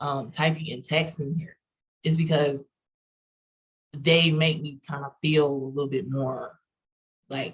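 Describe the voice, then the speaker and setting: Very slowly and somewhat breathily, a woman with an American accent speaks at a very deep, low pitch. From Texas. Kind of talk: casual panel discussion.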